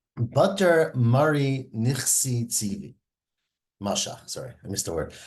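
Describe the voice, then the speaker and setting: A somewhat breathy man with lively intonation and medium pitch at a fairly slow pace, against a quiet background. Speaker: Talmud teacher. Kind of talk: lecture.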